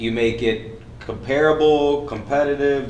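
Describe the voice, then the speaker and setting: In a room with audible echo, a man speaks at a moderate pace and medium pitch with ordinary pitch variation. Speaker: event host and real estate coach. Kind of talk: panel moderation. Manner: loud.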